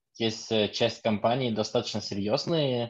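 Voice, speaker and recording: Fairly slow speech from a man, quiet background behind him. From Lithuania. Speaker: DevOps engineer, audience member. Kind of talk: audience comment.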